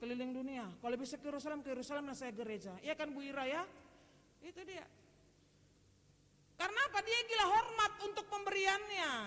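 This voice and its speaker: With a Medan accent, a woman speaks in a raised, projected voice at a high pitch, her bright, sharp, animated tone making very wide pitch swings at a fairly quick pace broken by long, frequent pauses. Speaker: preacher. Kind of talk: sermon. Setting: church. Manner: animated, addressing congregation directly.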